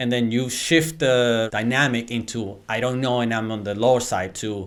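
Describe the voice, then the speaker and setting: A medium-pitched man with a Spanish accent, at a moderate pace with fairly even intonation. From Venezuela, moved to US at 13. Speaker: real estate agent. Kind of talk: podcast interview. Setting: studio.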